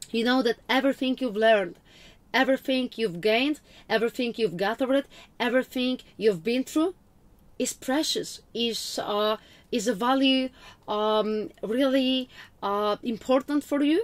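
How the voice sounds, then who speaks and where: A woman in a Russian accent talks at a high pitch and moderate pace with ordinary pitch variation, recorded very cleanly against a silent background. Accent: almost-Russian. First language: Polish. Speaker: witch, spiritual vlogger. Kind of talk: casual talk to camera.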